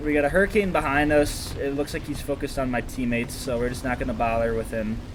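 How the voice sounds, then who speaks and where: Amid noticeable background noise and audible room echo, a man speaks very fast at medium pitch with ordinary pitch variation. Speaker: gaming commentator. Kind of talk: gameplay commentary. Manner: mumbling; stuttering.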